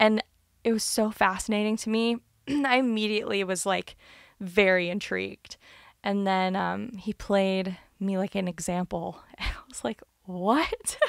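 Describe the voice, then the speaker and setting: A normal speaking voice with an American accent, at a fairly slow pace with ordinary pitch variation, in a very clean recording with a silent background and a dry, close sound with no echo. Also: woman, medium pitch for a woman. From northern Virginia, US. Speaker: singer-songwriter and voice provider. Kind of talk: interview. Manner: casual, many fillers.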